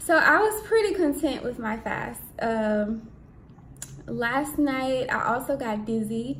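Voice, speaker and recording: A woman speaks very slowly with a high pitch and very wide pitch swings. Noticeable background noise and audible room echo surround her voice. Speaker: vlogger on spiritual fasting. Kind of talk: casual vlog. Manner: soft-spoken.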